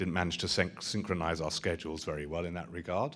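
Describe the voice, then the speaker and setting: Recorded very cleanly against a silent background, a man speaks with a strong British accent. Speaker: rabbi, interfaith lecturer. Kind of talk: public lecture.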